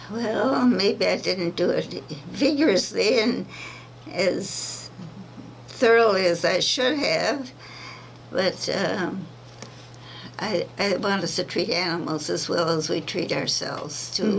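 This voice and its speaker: Amid noticeable background noise and audible room echo, a woman at medium pitch talks at a very slow pace with lively intonation and long, frequent pauses. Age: 80s+. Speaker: centenarian activist. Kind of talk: interview. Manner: halting.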